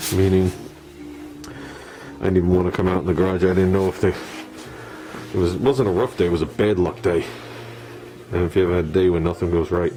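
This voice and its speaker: A man with a very deep, low pitch speaks at a fairly quick pace with ordinary pitch variation. Music plays in the background and room echo is audible. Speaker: hobby car restorer. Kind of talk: workshop tutorial. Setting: home garage. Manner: subdued, not talkative.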